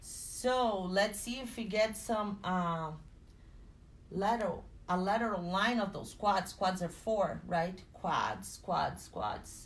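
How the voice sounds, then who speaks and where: A woman with a non-native accent at a very slow pace, fairly even in intonation, with audible room echo. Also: medium pitch for a woman. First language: not English. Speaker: personal trainer and fitness instructor. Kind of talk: guided exercise class.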